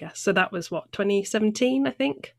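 Over a silent background in a very clean recording, a woman speaks at a medium pitch with vocal fry. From southwest England, North Devon. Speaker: trainee for ordination, former church debt-help worker. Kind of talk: casual interview.

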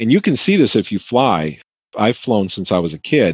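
This man speaks at a moderate pace with vocal fry and very wide swings in pitch. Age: 50s. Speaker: conspiracy theorist interviewee. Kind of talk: interview testimony.

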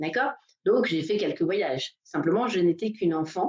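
Using lively intonation, a woman with a fairly low pitch speaks at a moderate pace. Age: 40s. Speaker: massage therapist and coach. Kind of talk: interview. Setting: Facebook Live video call. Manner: halting.

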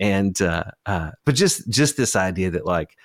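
A man at a moderate pace and fairly low pitch, dry and close with no echo. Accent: Appalachian. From Eastern Kentucky, Appalachia. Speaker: podcast host and researcher. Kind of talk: casual interview chat.

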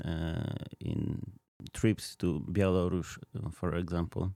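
A man talks very slowly in a very deep, low voice with a dark, mellow tone and fairly even intonation. The recording is very clean, with a silent background. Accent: Polish. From Poland, near Krakow. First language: Polish. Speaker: ministry field representative. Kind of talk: casual interview. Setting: studio. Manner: halting, many fillers.

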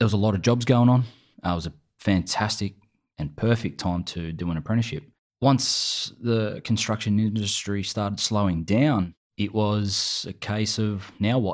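Speaking with an Australian accent, a man uses a fairly low pitch, ordinary pitch variation and a moderate pace. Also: very clean recording, silent background. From New South Wales, Australia. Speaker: army veteran. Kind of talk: interview.

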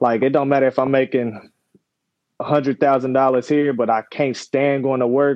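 Keeping a medium pitch with little pitch movement, a man speaks at a moderate pace.

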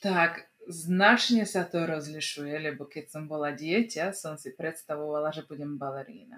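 Speaking with hardly any pauses, a woman with a very deep, low voice shows ordinary pitch variation and big swings in loudness. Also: moderate pace. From Slovak minority in Vojvodina, Serbia. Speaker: communications expert. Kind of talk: casual interview.

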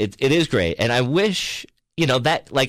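With an American accent and vocal fry, a man speaks in very wide pitch swings on a very clean recording with a silent background. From New York (Peekskill, Hudson Valley). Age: 50s. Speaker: stand-up comedian. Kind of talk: casual chat.

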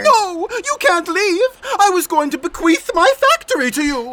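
This extremely high-pitched voice moves at a moderate pace. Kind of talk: comic overacting. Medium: audio drama. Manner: showman, theatrical, dramatic pauses.

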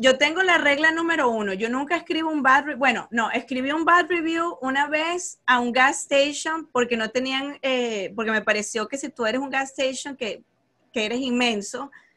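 Raised, projected voice with a bright, sharp tone at a moderate pace. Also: woman, high pitch for a woman, ordinary pitch variation. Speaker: podcast host, math content creator. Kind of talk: casual interview chat.

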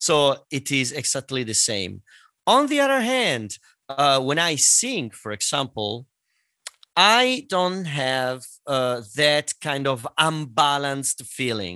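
This man has a medium pitch and a bright, sharp tone, with an Italian accent. He talks at a fairly slow pace with lively intonation over a quiet background. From Italy. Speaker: singer and voice teacher. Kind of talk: interview.

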